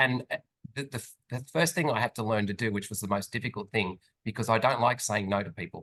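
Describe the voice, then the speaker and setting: A man's medium-pitched, bright, sharp voice at a very fast pace with ordinary pitch variation, in a dry, close sound with no echo. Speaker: finance professional and business owner. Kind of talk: interview conversation. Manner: animated.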